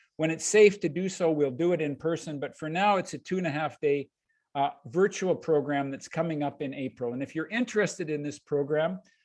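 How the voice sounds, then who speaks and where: Against a quiet background, a man with fairly high pitch and ordinary pitch variation talks at a fairly quick pace. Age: 60s. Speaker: leadership coach and workshop presenter. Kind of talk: webinar presentation with sales pitch. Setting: video call webinar. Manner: hesitant, with fillers and repetitions.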